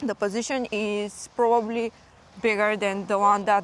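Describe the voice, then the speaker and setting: With a Slavic accent, a woman speaks at a medium pitch with fairly even intonation. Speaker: vlogger, parent. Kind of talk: casual vlog chat. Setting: outdoors in a forest. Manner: halting, many fillers.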